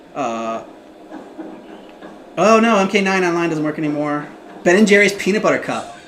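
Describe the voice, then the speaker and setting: Speaking with an American accent, a woman with a fairly low pitch uses lively intonation and long, frequent pauses, recorded with audible room echo and noticeable background noise. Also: moderate pace. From US Midwest. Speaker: gaming livestreamer. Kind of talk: casual livestream chat.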